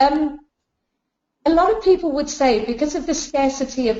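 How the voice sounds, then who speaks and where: A woman talks at a moderate pace with a British accent. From UK. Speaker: business founder, chartered accountant. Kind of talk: webinar presentation. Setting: online webinar.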